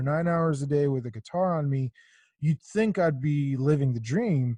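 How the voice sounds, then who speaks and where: Recorded with a dry, close sound with no echo, a somewhat breathy man speaks at a fairly high pitch with ordinary pitch variation. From Israel. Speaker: podcast host, musician. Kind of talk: casual chat. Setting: video call.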